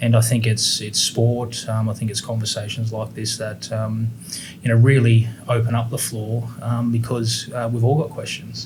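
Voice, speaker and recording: With an Australian accent, a man speaks at a moderate pace in a monotone, flat intonation, with audible room echo and noticeable background noise. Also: medium pitch for a man. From Queensland, Australia. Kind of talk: interview. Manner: halting, many fillers.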